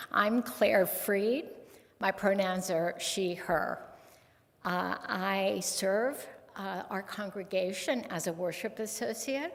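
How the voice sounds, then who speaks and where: Very slow speech from a woman at a medium pitch with ordinary pitch variation. Audible room echo and noticeable background noise fill the recording. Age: 70s. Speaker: lay worship associate. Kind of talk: worship service reading. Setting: church service. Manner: halting, with fillers.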